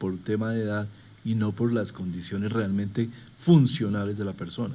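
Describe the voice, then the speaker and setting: This man's voice sits fairly low and has a dark, mellow tone. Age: under 60. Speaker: health official presenting survey results. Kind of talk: presentation.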